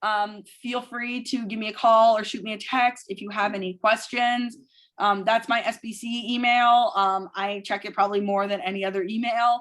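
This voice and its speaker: A plain, everyday voice from a woman, fairly high in pitch, at a moderate pace with fairly even intonation. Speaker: athletic trainer. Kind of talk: presentation.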